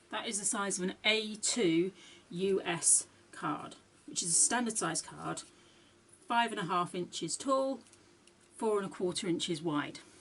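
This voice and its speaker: With lively intonation and a medium pitch, a woman speaks at a fairly slow pace, leaving long, frequent pauses. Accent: British. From UK. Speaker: card-making crafter. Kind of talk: tutorial.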